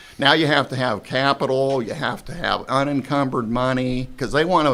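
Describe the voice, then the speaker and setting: A plain, everyday voice from a man with an American accent, at a moderate pace with ordinary pitch variation and hardly any pauses. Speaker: retired car dealer. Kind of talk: casual interview chat.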